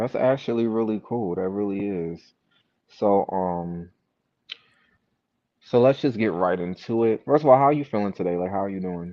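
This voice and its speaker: Speaking with an American accent, a man has a fairly low pitch and ordinary pitch variation at a moderate pace. Long, frequent pauses break up his speech. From New York. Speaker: interviewer. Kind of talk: casual interview.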